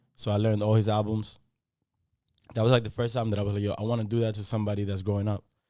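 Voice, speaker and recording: A man with a slight Spanish accent speaks very fast in a fairly low, dark, mellow voice. His intonation stays monotone and flat, broken by long, frequent pauses. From Dominican Republic, moved to Yonkers NY at nine. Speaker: rapper. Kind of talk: interview.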